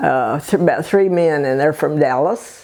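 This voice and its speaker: A woman with a Texan accent speaks at a fairly slow pace with a very deep, low pitch, ordinary pitch variation and a dark, mellow tone. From Bay City, Texas. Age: 80s+. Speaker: birdwatcher. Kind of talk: interview answer.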